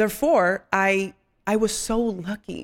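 A woman of medium pitch speaks with a Dominican accent. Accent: Dominican, noticeable when she speaks. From Dominican Republic. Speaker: fitness trainer and content creator. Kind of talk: casual interview.

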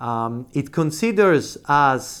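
Lively intonation marks a man's normal speaking voice, fairly high in pitch, on a very clean recording with a silent background. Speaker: law professor. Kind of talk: lecture. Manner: formal.

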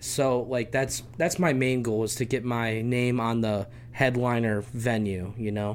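In a plain, everyday voice, a man speaks at a fairly slow pace with medium pitch, fairly even intonation and hardly any pauses. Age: 20s. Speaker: stand-up comedian. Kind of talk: casual chat. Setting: studio.

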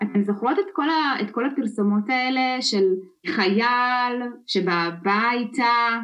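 A woman talks very slowly with a Russian accent, her pitch high. Her loudness stays very even. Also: lively intonation. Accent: Russian-tinged Hebrew, noticeable guttural r. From former Soviet Union, immigrated to Israel. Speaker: storytelling and communication consultant. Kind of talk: podcast interview. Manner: fluent, animated.

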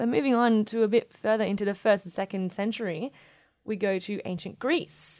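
On a very clean recording with a silent background, a woman with an Australian accent talks with ordinary pitch variation. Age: young. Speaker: astronomer and podcast co-host. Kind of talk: casual chat.

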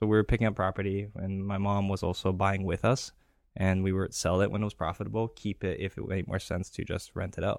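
On a very clean recording with a silent background, a man speaks fairly quickly in a fairly low pitch with monotone, flat intonation. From Greece. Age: 30s. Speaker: real estate investor. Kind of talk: interview.

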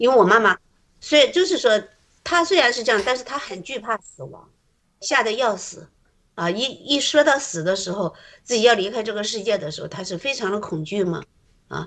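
A woman with a fairly high pitch speaks at a fairly quick pace, with long, frequent pauses. Her loudness swings widely. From Shandong, rural China. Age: 50s. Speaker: church member sharing testimony. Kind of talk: testimony.

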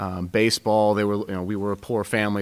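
Fairly quick and monotone, a man speaks at a fairly low pitch with a Pacific Northwest accent. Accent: general American (Pacific Northwest). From Seattle. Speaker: youth basketball coach and student. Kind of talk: interview.

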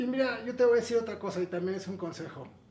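Audible room echo and noticeable background noise around a man talking fairly quickly. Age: 40s. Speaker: recovering addict. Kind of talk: interview testimony.

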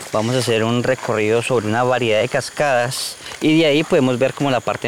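Noticeable background noise sits behind a man speaking at a very fast pace. His voice has a medium pitch and ordinary pitch variation. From Colombia, Huila; raised in La Macarena, Meta. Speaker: tour guide. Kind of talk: guided tour explanation.

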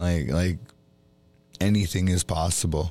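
A man with a very deep, low pitch, fairly even intonation and a fairly slow pace, over music in the background. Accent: American. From Minnesota, Ojibwe reservation. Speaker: podcast host. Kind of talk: casual conversation.

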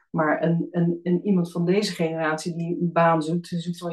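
Music plays in the background as a woman speaks at a moderate pace. Her fairly low pitch stays in monotone, flat intonation. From Netherlands, Alphen aan de Rijn (South Holland). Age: 40s. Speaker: team coach. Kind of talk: podcast interview.

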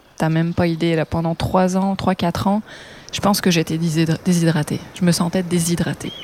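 Music plays behind a woman with a fairly low pitch. She speaks at a fairly slow pace in a monotone, flat delivery. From France, Brittany (Morbihan). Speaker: photographer and makeup artist. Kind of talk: interview.

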